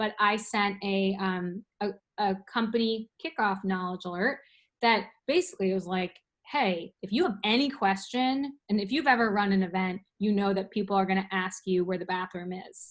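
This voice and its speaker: In a normal speaking voice, a woman talks at a moderate pace and medium pitch with ordinary pitch variation against a quiet background. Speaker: company enablement specialist giving a product demo; presenter. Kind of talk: webinar product walkthrough. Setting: online webinar with screen share. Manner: casual with many fillers. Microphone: video call.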